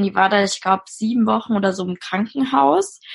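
Her somewhat breathy voice sits at a medium pitch for a woman. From Germany, Mainz. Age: 20s. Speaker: social work student. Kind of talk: interview testimony.

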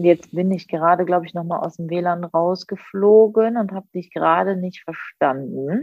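A woman speaks in a plain, everyday voice, fairly low in pitch. Her pace is moderate and her pitch varies in an ordinary way. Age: 30s. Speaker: psychology graduate and social media creator. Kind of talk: casual chat. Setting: video call.

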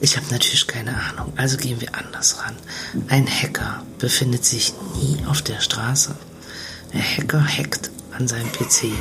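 Over noticeable background noise, a woman whispers with long, frequent pauses. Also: moderate pace. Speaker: podcast co-host. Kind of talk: casual chat. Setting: caravan on holiday. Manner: quieter than usual.

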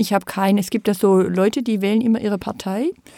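A woman at a medium pitch speaks with a dark, mellow tone and monotone, flat intonation in a dry, close sound with no echo, on a very clean recording with a silent background. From southwest Germany, Rottweil. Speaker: civic association representative. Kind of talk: panel discussion. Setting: studio.

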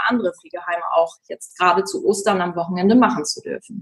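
A somewhat breathy woman at a moderate pace, with ordinary pitch variation. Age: 20s. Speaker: singer and social worker. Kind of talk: casual interview.

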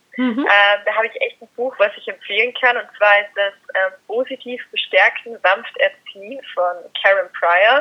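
A woman speaks at a fairly slow pace in a fairly high pitch, with big swings in loudness. She has an unremarkable speaking voice. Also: ordinary pitch variation. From Austria. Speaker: dog trainer. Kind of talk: interview.

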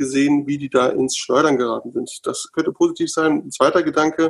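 The voice moves at a fairly quick pace with a dry, close sound and no echo. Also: man. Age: 40s. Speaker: member of parliament, lawyer. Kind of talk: casual panel discussion. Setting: video call from home.

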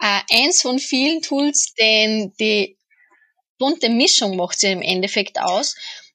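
A woman talks at a very slow pace in a fairly high voice with a bright, sharp tone. Her pitch swings very widely. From Austria. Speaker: podcast co-host interviewing. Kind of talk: interview.

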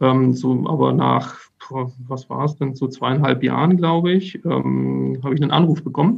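Noticeable background noise surrounds the recording. A man talks at a fairly slow pace. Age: 30s. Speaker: safety engineer. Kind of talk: interview. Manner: halting.

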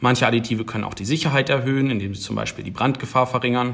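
A man rattles off his words at a very fast pace, his medium pitch showing ordinary variation. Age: 20s. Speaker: PhD researcher in battery science. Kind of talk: casual interview.

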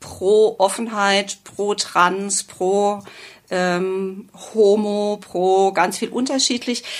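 A woman's voice at medium pitch. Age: 50s. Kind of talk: interview.

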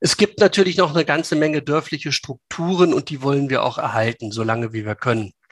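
A man is heard in a dry, close sound with no echo. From Lower Saxony, Hanover region. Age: 50s. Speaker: local politician. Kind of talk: interview. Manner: hesitant with many fillers.

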